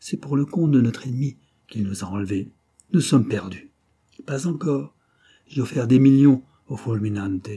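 Hushed surroundings behind an unforced reading voice

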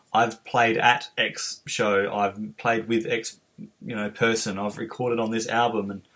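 This man has a medium-pitched voice and an Australian accent. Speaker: podcast host and musician. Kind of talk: interview. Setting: video call.

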